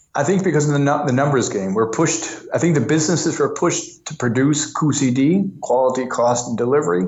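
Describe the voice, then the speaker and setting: With an American accent, a man speaks very fast at a fairly high pitch with ordinary pitch variation and hardly any pauses, amid audible room echo and noticeable background noise. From US Northeast, New York. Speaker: lean coach. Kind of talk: interview. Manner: halting, with many restarts.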